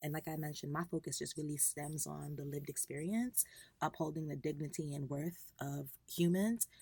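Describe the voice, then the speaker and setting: A woman with an American accent speaks at a fairly quick pace in a very deep, low voice with ordinary pitch variation. Her tone is dark and mellow and somewhat breathy. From New York, Long Island. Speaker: environmental policy advocate. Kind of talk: interview.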